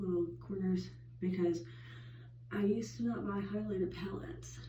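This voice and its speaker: A woman's voice carries audible room echo. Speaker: beauty vlogger. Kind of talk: makeup tutorial. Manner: casual, filler-heavy.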